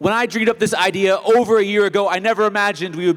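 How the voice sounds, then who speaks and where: A man talks with an American accent. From United States. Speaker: event host. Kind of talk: opening speech. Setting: stage with audience. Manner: fast.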